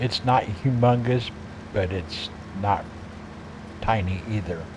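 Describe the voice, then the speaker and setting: A man with a fairly low pitch and a relaxed tone speaks at a very slow pace with ordinary pitch variation, amid audible room echo and noticeable background noise. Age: 60s. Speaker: video game streamer. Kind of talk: casual gameplay chat. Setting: live stream with team voice chat. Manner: relaxed, with fillers and self-corrections.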